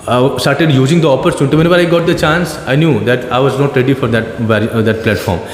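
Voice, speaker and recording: Someone with an Indian accent talks at a very fast pace, with audible room echo and noticeable background noise. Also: man. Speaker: teacher. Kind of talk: casual conversation about learning English. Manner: hesitant, many fillers and restarts.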